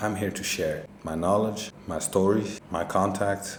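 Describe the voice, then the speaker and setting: A man with a non-native accent and a fairly low pitch, at a moderate pace with fairly even intonation, with audible room echo and noticeable background noise. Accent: non-native English speaker. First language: not English. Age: 40s. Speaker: cannabis grower. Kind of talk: casual vlog monologue.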